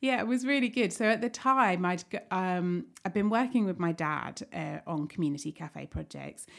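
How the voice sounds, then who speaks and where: With a southern English accent and lively intonation, a woman at medium pitch talks at a moderate pace with hardly any pauses. The recording is very clean, with a silent background. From Kent, England. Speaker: cafe owner. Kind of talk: casual chat. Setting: studio.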